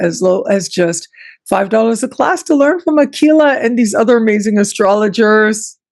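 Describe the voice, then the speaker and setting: In a Canadian accent, a woman with a fairly high pitch and lively intonation speaks in a plain, everyday voice. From Canada. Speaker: astrology show host. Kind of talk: casual interview chat.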